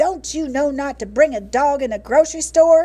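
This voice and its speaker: A woman uses a put-on character voice, high in pitch, at a moderate pace. Her loudness swings widely. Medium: read story.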